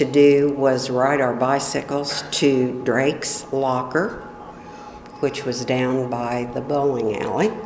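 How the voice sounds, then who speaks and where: With a US Midwestern accent and a very deep, low pitch, a woman speaks very slowly with ordinary pitch variation amid noticeable background noise and audible room echo. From Illinois, US Midwest. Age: 60s. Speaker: oral history interviewee. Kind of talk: oral history interview. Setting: library meeting room.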